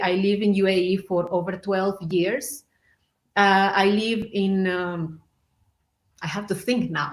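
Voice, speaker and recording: At a fairly slow pace, a woman speaks with a Spanish accent at a medium pitch. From Mexico. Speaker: belly dancer. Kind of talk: interview.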